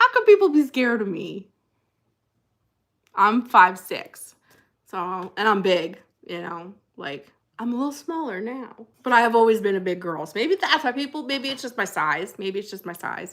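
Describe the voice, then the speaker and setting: In a New Jersey accent, a woman speaks at a moderate pace in an animated tone, her fairly high voice lively in intonation and broken by long, frequent pauses. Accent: New Jersey American. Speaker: livestream host, former pastor. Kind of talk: casual live chat reading comments. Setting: livestream.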